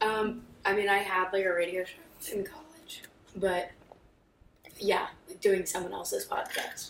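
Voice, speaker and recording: With music in the background and audible room echo, a woman talks fairly slowly at a medium pitch, with ordinary pitch variation, big swings in loudness, and long, frequent pauses. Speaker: communications intern, sports journalist. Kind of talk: casual chat.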